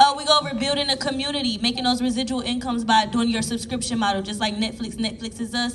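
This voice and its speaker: A woman's animated, fairly high voice at a very fast pace, with ordinary pitch variation and noticeable background noise. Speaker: business coach on a panel. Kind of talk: panel discussion.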